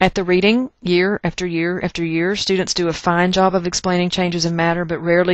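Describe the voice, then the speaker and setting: A woman talks at a very fast pace with a Texas accent. Her pitch is fairly low. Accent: Texas twang. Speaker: chemistry teacher. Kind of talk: recorded lecture. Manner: casual, conversational.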